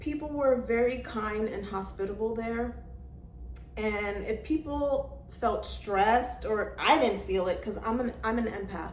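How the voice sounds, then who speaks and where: With an American accent, the speaker talks at a fairly slow pace amid noticeable background noise and audible room echo. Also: woman. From New York. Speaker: travel vlogger. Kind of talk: casual vlog talk. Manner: loud.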